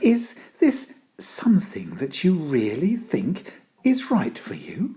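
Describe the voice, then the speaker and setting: This is a put-on character voice with a fairly high pitch. The delivery moves at a fairly slow pace. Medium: read story. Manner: gentle.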